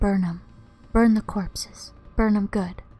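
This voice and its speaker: The speaker is soft-spoken. The pace is very slow. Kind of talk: ASMR soft-spoken reading of game notes.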